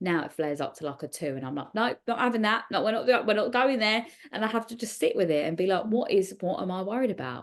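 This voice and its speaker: Speaking at a very fast pace over a quiet background, a woman uses a fairly high pitch with very wide pitch swings and vocal fry. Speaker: podcast host. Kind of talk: casual interview chat.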